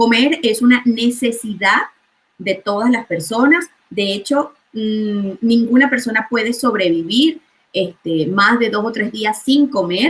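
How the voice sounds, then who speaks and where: A woman with a Venezuelan accent speaks at a very slow pace with lively intonation. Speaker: chemist and food coach. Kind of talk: interview.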